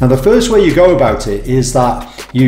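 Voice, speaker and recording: A man talks at a moderate pace with audible room echo. Faint music plays in the background. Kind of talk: tutorial. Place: home room.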